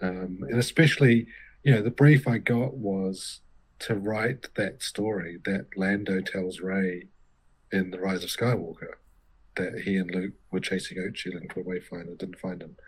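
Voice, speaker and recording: With a New Zealand accent, a man speaks at a moderate pace in a very deep, low pitch with ordinary pitch variation. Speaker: novelist. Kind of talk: interview.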